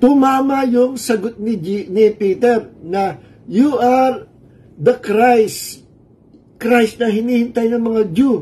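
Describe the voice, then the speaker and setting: This man's pitch is extremely high. He talks at a very slow pace. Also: ordinary pitch variation. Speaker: pastor. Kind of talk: sermon. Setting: livestream from a cold room. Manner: Taglish, conversational.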